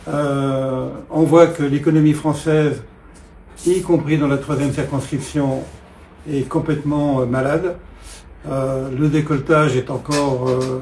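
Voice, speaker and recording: Speaking at a moderate pace with monotone, flat intonation, a man with a fairly high pitch is heard against audible room echo. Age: 70s. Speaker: political candidate. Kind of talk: interview. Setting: at his home. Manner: hesitant, many filler sounds.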